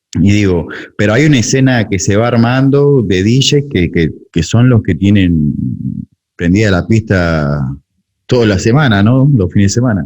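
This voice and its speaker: With an Argentine accent, a man speaks at a fairly low pitch, his intonation lively and his loudness very even. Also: moderate pace. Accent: Rioplatense Argentine Spanish. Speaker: music producer and podcast host. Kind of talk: interview conversation. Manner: casual.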